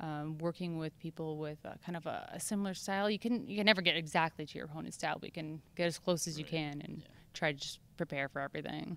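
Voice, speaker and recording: A woman speaks at a very fast pace with a fairly low pitch. The sound is dry, with no echo. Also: ordinary pitch variation, big swings in loudness. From Canada. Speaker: mixed martial arts fighter. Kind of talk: interview. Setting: fight week media interview in Calgary. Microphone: handheld.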